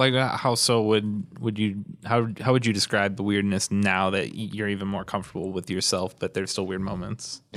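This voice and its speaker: With an ordinary speaking voice, a man talks at a fairly low pitch and a moderate pace, keeping his intonation fairly even. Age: 30s. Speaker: podcast host. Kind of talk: interview.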